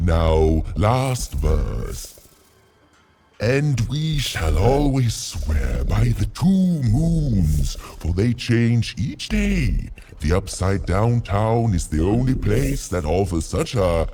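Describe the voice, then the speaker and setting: In a put-on character voice, a man speaks very slowly at a fairly low pitch with very wide pitch swings. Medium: video game. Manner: pompous, grandiloquent.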